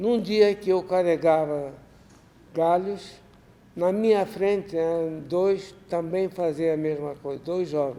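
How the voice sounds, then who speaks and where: A man's high-pitched voice at a very slow pace, with fairly even intonation. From Ukraine. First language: Russian (speaking Portuguese). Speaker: Holocaust survivor. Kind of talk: lecture. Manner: halting.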